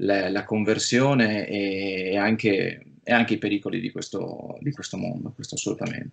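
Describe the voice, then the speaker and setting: A man's plain, everyday voice, fairly low in pitch and at a fairly slow pace, against a quiet background. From Friuli, north-east Italy; Italy. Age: 30s. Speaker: film producer; interviewee. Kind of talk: interview. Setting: remote call. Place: home room. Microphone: video call.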